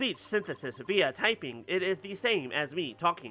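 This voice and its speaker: Over music in the background, a man puts on a robotic character voice. His pitch is high. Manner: flat, mechanical.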